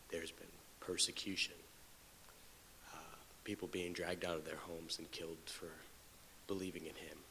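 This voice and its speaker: A man with a very deep, low pitch speaks in a bright, sharp tone with monotone, flat intonation. His fairly quick speech has big swings in loudness and long, frequent pauses. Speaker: Bible class teacher. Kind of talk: Bible lesson.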